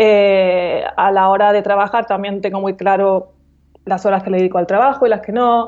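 A woman with a medium pitch speaks at a moderate pace in a monotone, flat delivery. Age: 40s. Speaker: coach and author. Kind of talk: casual interview.

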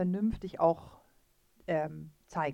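The woman's voice moves through very wide pitch swings. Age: 40s. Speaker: riding instructor and podcast co-host. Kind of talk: casual expert chat. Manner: hesitant, many fillers.

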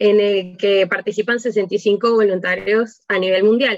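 With an unremarkable speaking voice, a woman talks at a medium pitch with fairly even intonation. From Panama. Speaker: electrical engineer. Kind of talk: radio interview.

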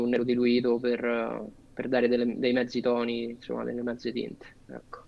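The voice belongs to a man with a medium pitch. His speech moves at a moderate pace. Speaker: tattoo artist. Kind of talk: casual chat.

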